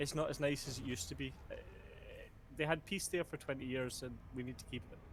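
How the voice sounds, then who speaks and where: A man with a Scottish accent talks very fast at a fairly high pitch, with fairly even intonation and a somewhat breathy sound. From Scotland. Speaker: nurse. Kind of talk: casual chat.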